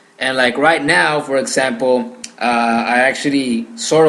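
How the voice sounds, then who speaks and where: A man with a slight Mexican accent and a fairly high pitch shows ordinary pitch variation amid audible room echo. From Mexico. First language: Spanish. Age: young. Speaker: gaming podcaster. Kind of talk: solo podcast monologue. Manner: hesitant with frequent fillers.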